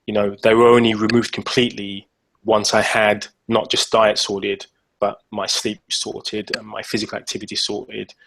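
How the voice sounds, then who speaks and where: At a moderate pace, a man with an English accent talks with big swings in loudness. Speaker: fitness coach and author. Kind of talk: casual interview. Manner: halting, many repeated words.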